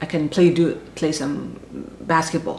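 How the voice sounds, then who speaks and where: Fairly quick, fairly low-pitched speech from a woman amid noticeable background noise. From Inner Mongolia, China; moved to Beijing at ten. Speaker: intercultural management consultant. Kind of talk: interview. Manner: halting, with many fillers and repetitions.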